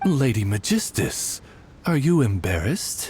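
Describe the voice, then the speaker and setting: Using a put-on character voice, a man of medium pitch speaks at a moderate pace with very wide pitch swings. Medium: video game. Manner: formal, courteous butler-like.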